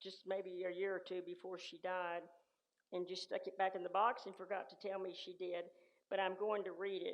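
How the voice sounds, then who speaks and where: A woman with a West Texas accent at a moderate pace. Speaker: church member sharing life story. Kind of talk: personal storytelling. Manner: halting.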